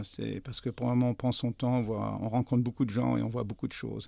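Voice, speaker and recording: The recording is very clean with a silent background. A man talks in a medium pitch. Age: 60s. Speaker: restaurant owner. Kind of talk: interview. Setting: studio. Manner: halting.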